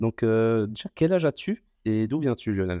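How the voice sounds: A man's fairly low voice, clear, smooth, dark and mellow, with lively intonation at a fairly slow pace, in a dry, close sound with no echo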